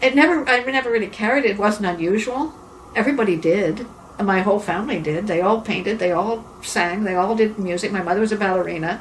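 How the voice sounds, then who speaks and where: Over noticeable background noise and audible room echo, a woman talks very fast at a medium pitch with ordinary pitch variation. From England, then Montreal. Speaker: artist and singer. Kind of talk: interview. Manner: halting.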